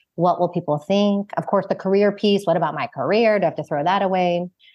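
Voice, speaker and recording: A woman talks at a very fast pace in an American accent. Her intonation stays fairly even. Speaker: founder and author. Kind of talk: casual interview chat.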